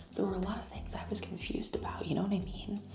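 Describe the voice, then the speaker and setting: A woman whispers over music in the background, with audible room echo in the recording. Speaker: lifestyle vlogger. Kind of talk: casual vlog talk. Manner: whispering.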